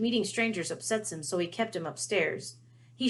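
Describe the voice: Ordinary pitch variation in plain reading aloud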